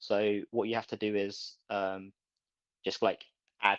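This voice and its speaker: Over a quiet background, a man with a British accent speaks in a fairly low pitch, with vocal fry and monotone, flat intonation. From UK. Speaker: crypto community member. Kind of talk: voice chat discussion. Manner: halting.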